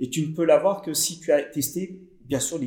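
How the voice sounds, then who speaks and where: A man's voice, fairly high in pitch, comes across somewhat breathy. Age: 50s. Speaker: digital marketing consultant. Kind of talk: interview. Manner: halting.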